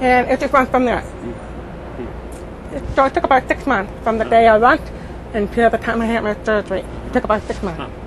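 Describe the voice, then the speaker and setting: Amid noticeable background noise, a woman speaks with long, frequent pauses. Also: fairly high pitch for a woman, ordinary pitch variation, fairly quick pace. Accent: American. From Indiana, US Midwest. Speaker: cochlear implant user. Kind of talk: interview. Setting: conference. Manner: clearer since implant, people say.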